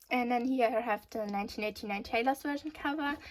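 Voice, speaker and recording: A woman with a German accent speaks at a high pitch with ordinary pitch variation. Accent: German accent, noticeable. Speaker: youtuber. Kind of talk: casual chat. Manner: casual, filler-heavy.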